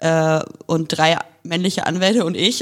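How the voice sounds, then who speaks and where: In a very clean recording with a silent background, a woman speaks with fairly even intonation and a fairly low pitch, an ordinary speaking voice. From northern Germany, near Hanover. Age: young. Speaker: lawyer. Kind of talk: casual interview. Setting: law office.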